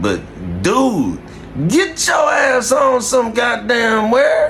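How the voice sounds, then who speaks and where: A man shouts very slowly in an American accent. Room echo is audible and background noise is noticeable. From Indianapolis, Indiana (west side). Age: 40s. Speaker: vlogger reacting to news clips. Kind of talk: casual reaction commentary. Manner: animated.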